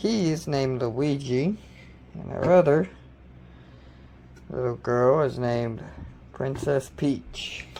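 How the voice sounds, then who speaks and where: Over noticeable background noise, a man with a medium pitch talks at a very slow pace, with long, frequent pauses. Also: ordinary pitch variation. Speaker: home cook. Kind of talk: cooking tutorial. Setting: home kitchen. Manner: casual.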